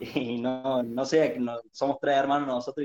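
Recorded dry and close with no echo, a man speaks in a dark, mellow voice of medium pitch. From Argentina, Córdoba province (Arroyito). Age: 20s. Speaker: football fan. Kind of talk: interview.

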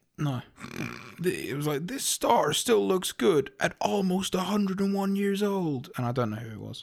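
In a British accent, a man with a high pitch speaks fairly slowly, his pitch swinging very widely and his loudness rising and falling sharply. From UK. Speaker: podcast co-host. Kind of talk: casual chat.

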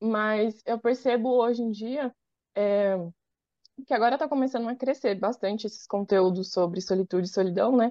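A woman with an ordinary speaking voice talks at a moderate pace, her fairly high pitch showing ordinary pitch variation. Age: 20s. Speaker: advertising professional and content creator. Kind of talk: casual chat.

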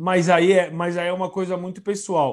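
The recording is very clean with a silent background. A man speaks at a high pitch. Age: 40s. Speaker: football pundit. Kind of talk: casual chat.

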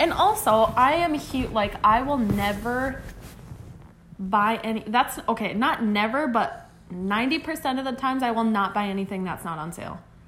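Noticeable background noise sits under the speech, along with audible room echo. The delivery moves at a moderate pace. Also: woman, fairly high pitch for a woman. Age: 20s. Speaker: podcast co-host. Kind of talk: casual chat.

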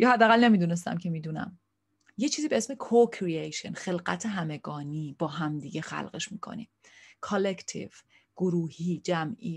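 A woman's somewhat breathy voice at fairly low pitch, with lively intonation, a moderate pace and long, frequent pauses, in a very clean recording with a silent background. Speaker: therapist and online show host. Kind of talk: casual vlog monologue. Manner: relaxed, unscripted.

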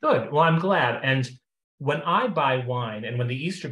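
Somewhat breathy speech moves along at a fairly quick pace. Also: man. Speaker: friend of host. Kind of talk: casual chat.

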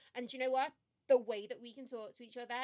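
Delivered at a very fast pace in a Liverpool accent, the speech has a monotone, flat intonation. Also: woman. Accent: Scouse (Liverpool). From Liverpool, England. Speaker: podcast co-host, marketing professional. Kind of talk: casual chat.

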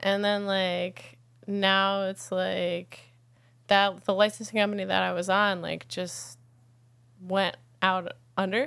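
Very slow speech from a woman with an American accent, medium in pitch with ordinary variation, long, frequent pauses, and a very clean recording with a silent background. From upstate New York (Catskills). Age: 30s. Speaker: musician. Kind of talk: casual interview chat.

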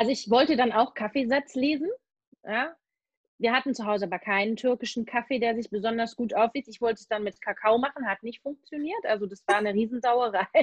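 With a fairly high pitch and ordinary pitch variation, a woman talks at a fairly quick pace in a plain, everyday voice, recorded dry and close with no echo. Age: 40s. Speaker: animal communicator and medium. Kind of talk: casual interview.

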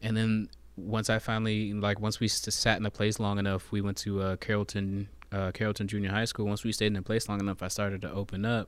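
An American accent marks this man's fairly low, monotone voice as he speaks at a very fast pace with flat intonation. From US Virgin Islands (Saint Thomas), raised US South. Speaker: rapper, singer and poet. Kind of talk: casual podcast interview.

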